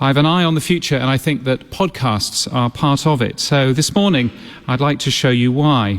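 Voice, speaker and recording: A man with a slight British accent speaks at medium pitch with ordinary pitch variation. Background noise is noticeable. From Britain. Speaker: radio consultant and public speaker. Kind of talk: conference talk. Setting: stage with audience, broadcast on radio.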